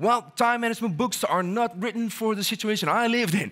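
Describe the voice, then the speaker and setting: In a very clean recording with a silent background, a man speaks fairly quickly in a raised, projected voice that is extremely high, bright and sharp, animated, with ordinary pitch variation. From Netherlands. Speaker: motivational speaker. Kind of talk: keynote talk. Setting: stage with audience.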